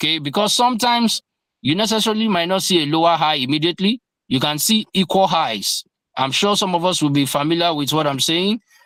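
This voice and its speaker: A man in a plain, everyday voice speaks at a fairly quick pace with lively intonation, in a dry, close sound with no echo on a very clean recording with a silent background. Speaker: crypto trading teacher. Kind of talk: lecture.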